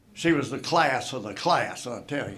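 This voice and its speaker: With audible room echo and noticeable noise behind him, a man talks using lively intonation. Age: 80s+. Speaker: retired basketball coach. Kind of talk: acceptance speech.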